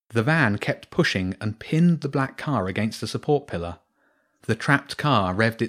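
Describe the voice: Lively intonation in plain reading aloud, the background quiet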